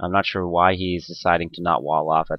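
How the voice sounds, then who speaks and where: A man's very deep, low voice at a very fast pace, in a monotone, flat intonation. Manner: casual, many fillers.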